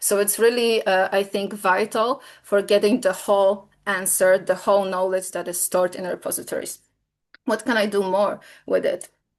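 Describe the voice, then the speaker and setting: Against a quiet background, a woman with a Polish accent speaks at a medium pitch. Her intonation is monotone and flat, at a moderate pace. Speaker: software company presenter. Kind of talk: webinar product demo. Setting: online webinar. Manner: hesitant, many fillers.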